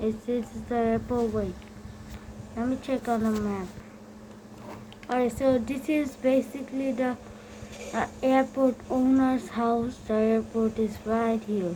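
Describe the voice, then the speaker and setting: A woman speaks at a very slow pace and a fairly high pitch, with long, frequent pauses. Her intonation is fairly even, and there is noticeable background noise. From Bangladesh. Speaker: gaming youtuber. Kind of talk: gameplay commentary. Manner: halting.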